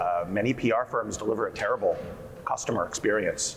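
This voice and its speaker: The speaker has a New Jersey accent. Noticeable background noise and audible room echo surround the voice. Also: man. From US Northeast, New Jersey. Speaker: PR agency founder and CEO. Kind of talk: panel discussion. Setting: conference stage with audience.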